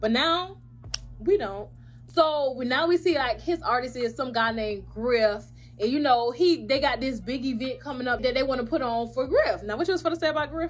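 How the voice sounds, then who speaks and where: Through noticeable background noise, a high-pitched woman speaks at a fairly quick pace with lively intonation. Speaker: YouTube recapper. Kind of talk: casual chat.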